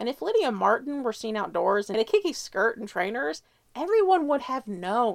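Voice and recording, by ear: A passage is read aloud. The voice stays natural throughout.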